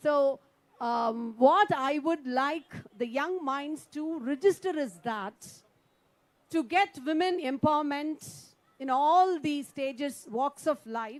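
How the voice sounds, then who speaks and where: A woman's high-pitched voice in a Tamil Nadu accent, very slow, with ordinary pitch variation. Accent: Tamil Indian English. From India, Tamil Nadu. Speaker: politician, poet and former English professor. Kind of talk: panel speech at round table. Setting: round table conference with audience.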